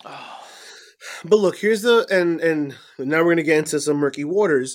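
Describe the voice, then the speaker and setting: A man speaks in an ordinary speaking voice, pitched fairly high with lively intonation. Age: 30s. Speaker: wrestling podcast co-host. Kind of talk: casual chat. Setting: remote recording.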